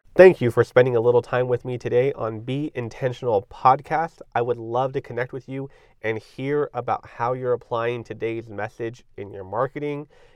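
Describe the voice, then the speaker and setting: The delivery has an enthusiastic tone, a moderate pace and big swings in loudness. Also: man. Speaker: podcast host. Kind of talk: interview.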